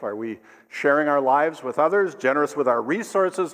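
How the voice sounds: A man with a fairly high pitch speaks at a moderate pace, his intonation lively.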